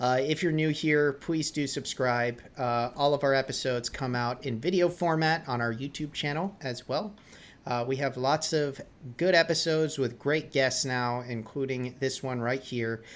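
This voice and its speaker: An ordinary speaking voice, from a man with an American accent. He talks at a moderate pace with a fairly high pitch. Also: ordinary pitch variation. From New England, near Boston. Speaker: podcast host. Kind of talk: casual interview.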